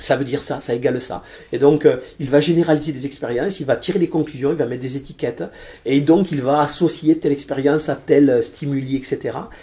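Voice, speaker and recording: A somewhat breathy man with a dark, mellow tone, fairly high pitch, fairly even intonation and a fairly quick pace. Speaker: financier. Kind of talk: interview. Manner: hesitant, many fillers and repetitions.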